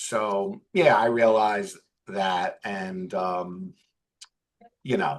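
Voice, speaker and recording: In a Bronx accent, a man speaks at a very slow pace and fairly low pitch, with fairly even intonation and long, frequent pauses. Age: 40s. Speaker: financial advisor. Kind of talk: interview conversation.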